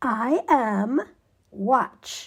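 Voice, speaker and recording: A woman uses a put-on character voice. It is high in pitch, with lively intonation. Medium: read story.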